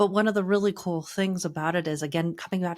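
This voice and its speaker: A woman has an ordinary speaking voice with a fairly low pitch and ordinary pitch variation. The recording is very clean, with a silent background. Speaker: marketing agency co-founder. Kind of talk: podcast business discussion.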